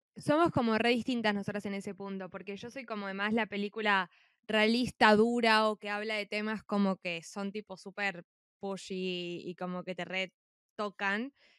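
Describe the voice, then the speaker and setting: In a very clean, dry, close recording with a silent background and no echo, a woman with a Rioplatense accent speaks at medium pitch and a moderate pace with fairly even intonation. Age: 20s. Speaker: podcast co-host, university student. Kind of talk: casual chat.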